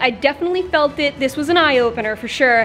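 A woman speaks at a moderate pace in a high pitch with ordinary pitch variation. Faint music is audible behind her. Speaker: fitness vlogger. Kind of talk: casual vlog chat. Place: gym. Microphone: phone near.

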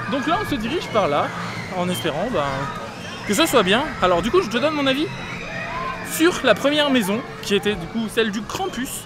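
Crowd noise sits in the background as a man with a high pitch talks at a fairly slow pace with very wide pitch swings, in a dry sound with no echo. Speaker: theme park vlogger. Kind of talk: casual vlog chat. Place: street. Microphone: phone near.

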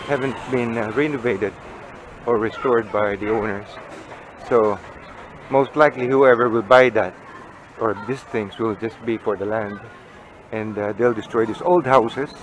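At a moderate pace, a man speaks with long, frequent pauses, in a dry sound with no echo over light background noise. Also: fairly even intonation. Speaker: walking vlogger. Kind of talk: casual tour commentary. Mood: nostalgic, calm. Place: street. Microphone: phone near.

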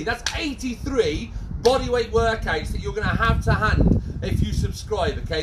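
A man talks at a fairly quick pace. Loud background noise runs behind him. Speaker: fitness instructor. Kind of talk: workout class instruction. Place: garden. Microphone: camera far.

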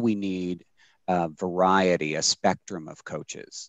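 A man's very deep, low voice with an American accent, at a fairly slow pace, dry with no echo, against a quiet background. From US. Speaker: sports nonprofit executive. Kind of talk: webinar panel discussion. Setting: video call. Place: home room. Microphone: headset.

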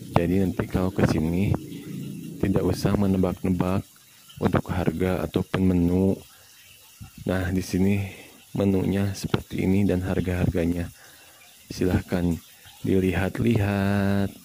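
Speech comes at a fairly slow pace with long, frequent pauses, the sound dry with no echo and the background noise noticeable. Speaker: cafe visitor vlogger. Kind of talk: casual vlog chat. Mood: relaxed, recommending food. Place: cafe. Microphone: phone near.

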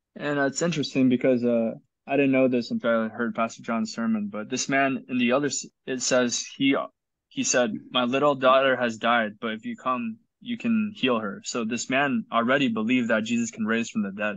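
The sound is dry with no echo and the background quiet as a man talks at a moderate pace with ordinary pitch variation. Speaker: Bible study leader. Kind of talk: group Bible study discussion. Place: home room. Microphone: video call.

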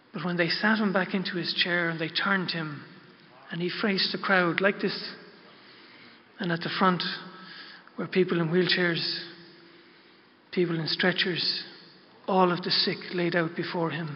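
A soft-spoken man with an Irish accent, high-pitched for a man, flat and monotone at a moderate pace, with long, frequent pauses. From Ireland. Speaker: pilgrim guide. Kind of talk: religious talk to an audience. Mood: reverent, heartfelt. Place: hall. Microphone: podium.

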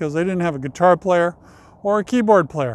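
Recorded dry with no echo, a man speaks in a high pitch with ordinary pitch variation. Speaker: cemetery tour video host. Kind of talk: casual talk to camera. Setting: outdoors. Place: open country. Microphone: lapel.

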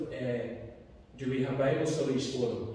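A man's voice at a moderate pace, with strong room echo and light background noise. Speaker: lay preacher. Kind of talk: sermon. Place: church.

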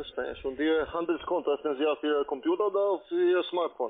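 A man's fairly high voice at a fairly quick pace, with ordinary pitch variation.

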